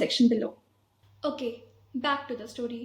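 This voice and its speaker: In an Indian accent, a woman speaks at a moderate pace with a high pitch. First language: Hindi. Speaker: vlogger. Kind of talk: guided breathing exercise; personal story vlog.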